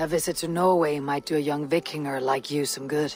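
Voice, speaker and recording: A put-on character voice at a low-to-middle pitch, speaking calmly at a fairly quick pace over faint background music. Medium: video game. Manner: calm, dry.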